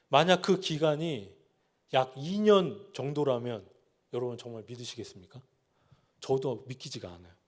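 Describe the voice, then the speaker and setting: Moderate pace and medium pitch from a man, lively intonation, big swings in loudness, long and frequent pauses, all very cleanly recorded over a silent background. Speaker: pastor. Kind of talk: sermon.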